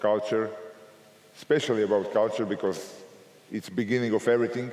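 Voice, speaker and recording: Audible room echo surrounds a man as he speaks. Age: 60s. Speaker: basketball coach. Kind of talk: Q&A answer; lecture. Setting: coaching clinic with audience.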